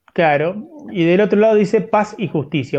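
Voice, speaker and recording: Speaking at a fairly slow pace, a man uses an unremarkable speaking voice with ordinary pitch variation. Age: 40s. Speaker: sports podcast co-host. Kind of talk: casual chat.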